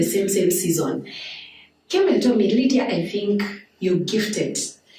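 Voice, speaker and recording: There is a woman speaking at a medium pitch. Room echo and noticeable background noise are audible. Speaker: counseling psychologist. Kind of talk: interview. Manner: loud.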